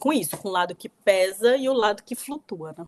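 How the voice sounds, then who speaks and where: In a dry, close sound with no echo, a plain, everyday voice moves at a moderate pace with ordinary pitch variation. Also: woman. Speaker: author. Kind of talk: interview conversation.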